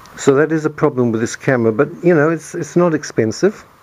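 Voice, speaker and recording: Noticeable background noise beneath lively intonation from a man. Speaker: hobbyist video maker. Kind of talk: tutorial. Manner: soft-spoken. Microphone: camera's built-in mic, poor audio pickup.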